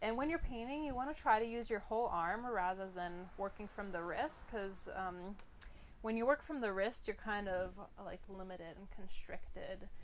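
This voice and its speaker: Here is an ordinary speaking voice, a woman's, with an American accent and a medium pitch. She talks at a moderate pace with lively intonation. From Philadelphia, US. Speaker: art instructor. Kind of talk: tutorial. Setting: live stream. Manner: casual, filler-heavy.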